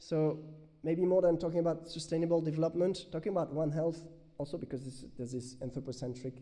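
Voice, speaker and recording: A man speaks at a fairly quick pace in a dark, mellow tone. His pitch varies in an ordinary way, with audible room echo. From France. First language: French. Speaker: researcher. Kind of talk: conference Q&A answer. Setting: conference with audience. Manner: halting.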